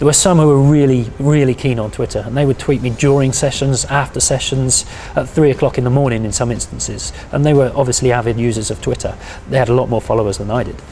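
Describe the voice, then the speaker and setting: A man's very fast delivery with fairly even intonation and light background noise. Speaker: university lecturer. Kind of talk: interview answer. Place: office. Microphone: lapel.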